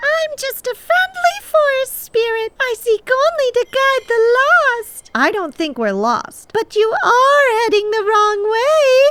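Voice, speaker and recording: A put-on character voice, female-sounding and squeaky, rises to an extremely high pitch. It moves at a fairly slow pace. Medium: audio drama. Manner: sly, condescending.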